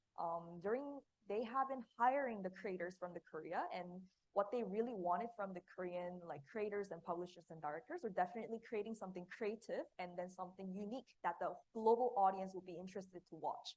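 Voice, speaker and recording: A woman speaks at a fairly quick pace with a medium pitch and ordinary pitch variation. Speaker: interpreter. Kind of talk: live interpretation. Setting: seminar room with audience. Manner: loud.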